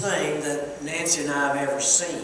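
Strong room echo and light background noise surround a man's voice. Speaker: preacher. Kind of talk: sermon. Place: church.

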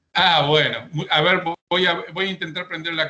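Here a man talks at a moderate pace, his fairly high pitch showing ordinary pitch variation. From Argentina. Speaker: real estate broker and auctioneer; auctioneer. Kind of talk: audience question. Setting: video call. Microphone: video call.

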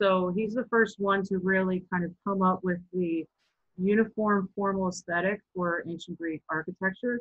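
Against a quiet background, a woman talks at a moderate pace in a monotone, flat intonation. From Baltimore, Maryland. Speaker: sculptor and installation artist. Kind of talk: artist talk presentation. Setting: video call. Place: home room. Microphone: webcam.

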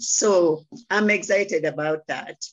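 A woman talks over a quiet background with ordinary pitch variation. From Kenya. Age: 70s. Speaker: interior designer and network marketer. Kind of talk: testimony. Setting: video call. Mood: warm, enthusiastic. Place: home room. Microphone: video call.

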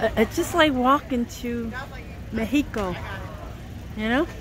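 A woman at a fairly slow pace with ordinary pitch variation, a dry sound with no echo, and noticeable background noise. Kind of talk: casual vlog narration. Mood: relaxed, pleased. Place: street. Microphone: phone near.

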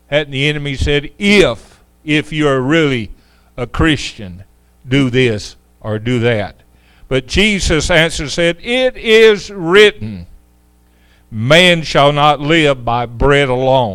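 A man talks very slowly, with a quiet background behind him. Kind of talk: sermon and prayer. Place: church.

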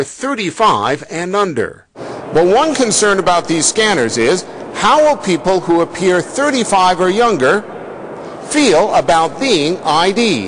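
Over noticeable background noise, a man with a high pitch talks at a fairly slow pace, his pitch swinging very widely. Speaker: TV news reporter. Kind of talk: TV news report, scripted voiceover with light humor in the field segment. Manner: polished, brisk, and crisply paced, with a wry tongue-in-cheek tone.

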